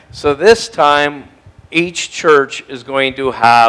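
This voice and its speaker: The man's speech moves at a very slow tempo. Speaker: pastor. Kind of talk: church announcements. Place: church. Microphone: headset.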